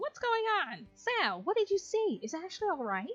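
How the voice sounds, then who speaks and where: A woman uses a put-on character voice at an extremely high pitch, with very wide pitch swings. Her pace is moderate, with faint music in the background. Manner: put-on, hard to hold.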